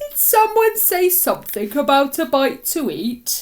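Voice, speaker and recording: A woman puts on a drawling character voice at an extremely high pitch. She moves at a fairly slow pace with very wide pitch swings. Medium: read story. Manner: drawling, yawning.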